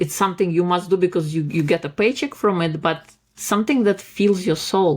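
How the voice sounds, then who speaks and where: A woman with a non-native accent, fairly low pitch and a moderate pace. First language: not English. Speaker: life coach and author. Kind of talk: podcast interview.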